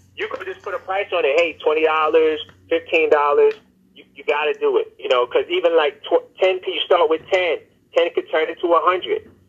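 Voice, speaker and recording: Speaking fairly quickly, a man talks in a New York accent. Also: big swings in loudness. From New York, Brooklyn. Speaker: event promoter, former rapper. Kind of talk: interview.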